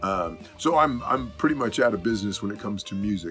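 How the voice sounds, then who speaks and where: A man talks with lively intonation in a fairly low voice. Music plays in the background. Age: 60s. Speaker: musician. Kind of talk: casual talk to camera.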